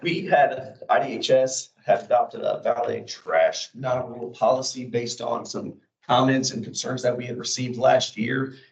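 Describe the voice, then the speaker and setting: A man puts on a hoarse character voice at medium pitch, moving at a moderate pace with hardly any pauses. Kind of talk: formal meeting presentation.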